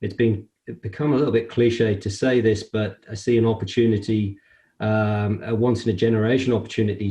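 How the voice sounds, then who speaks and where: Speaking at a fairly quick pace, a man with a British accent has a medium pitch and a dark, mellow tone. His delivery is somewhat breathy, in a monotone with flat intonation. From UK. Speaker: construction industry association CEO. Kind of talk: interview. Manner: hesitant, many fillers.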